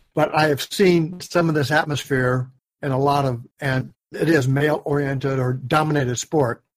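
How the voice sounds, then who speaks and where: Somewhat breathy, this man's voice has a fairly high pitch and fairly even intonation. He talks at a moderate pace. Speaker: co-host, dive instructor mentor. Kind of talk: casual chat podcast.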